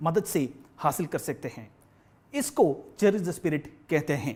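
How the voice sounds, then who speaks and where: This man speaks with a non-native accent. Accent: non-native Hindi. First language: Malayalam (speaking Hindi). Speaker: corporate training manager. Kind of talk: business presentation. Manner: formal.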